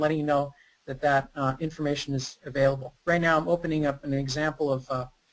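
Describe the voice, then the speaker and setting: Here a man is speaking. His pace is fairly quick. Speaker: presenter, data analytics consultant. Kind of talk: webinar presentation with screen demo. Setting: online webinar, recorded. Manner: fast.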